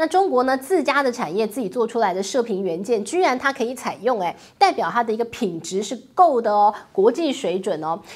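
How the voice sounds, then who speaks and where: Speaking in an animated tone with a Taiwanese accent, the voice moves at a fairly quick pace through very wide pitch swings. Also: woman, fairly high pitch for a woman. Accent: Taiwanese Mandarin. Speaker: news commentary host. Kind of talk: solo commentary on international finance.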